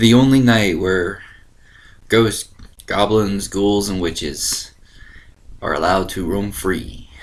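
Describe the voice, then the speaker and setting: Speaking very slowly with long, frequent pauses, a man with an American accent and fairly low pitch uses ordinary pitch variation, and audible room echo surrounds his voice. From Ohio. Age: 20s. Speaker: online video host. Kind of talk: casual chat. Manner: animated.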